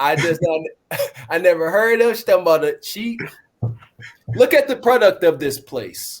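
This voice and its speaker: A man with a slight country accent, extremely high in pitch, at a moderate pace. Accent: slight country twang. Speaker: podcast host. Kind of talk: reaction commentary.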